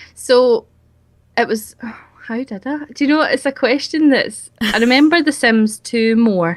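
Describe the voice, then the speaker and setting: With a strong Scottish accent, a woman of high pitch and ordinary pitch variation speaks at a fairly slow pace. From Scotland. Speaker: YouTuber, game video creator. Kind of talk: interview.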